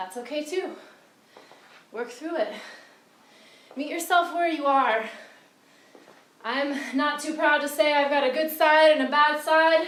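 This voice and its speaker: Speaking at a fairly slow pace with long, frequent pauses, a woman with a high pitch for a woman shows ordinary pitch variation amid audible room echo and noticeable background noise. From Britain. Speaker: fitness trainer. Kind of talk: workout instruction. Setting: outdoors.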